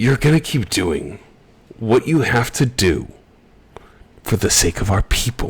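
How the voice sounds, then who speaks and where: The speaker uses a put-on character voice. Delivery is fairly slow, with long, frequent pauses. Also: man, medium pitch for a man. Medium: actual play. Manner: smug, domineering.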